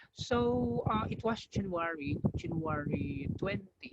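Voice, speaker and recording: A man speaks at a fairly high pitch. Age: 40s. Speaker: product user giving testimony. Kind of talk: testimony. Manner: hesitant, many fillers. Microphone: too quiet at first.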